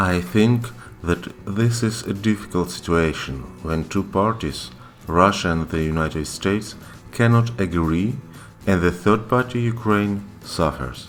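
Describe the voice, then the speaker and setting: A man with a non-native accent, fairly low in pitch, at a fairly slow pace with ordinary pitch variation, music in the background. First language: not English. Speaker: podcast co-host, language learner. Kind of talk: casual chat.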